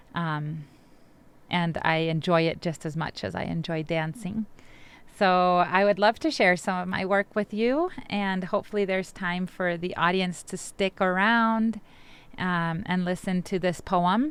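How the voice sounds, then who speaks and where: Speaking at a fairly slow pace, a woman with a medium pitch uses ordinary pitch variation on a very clean recording with a silent background. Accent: Spanish. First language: Spanish. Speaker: poet and immigrant rights activist. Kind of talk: interview talk introducing a poem.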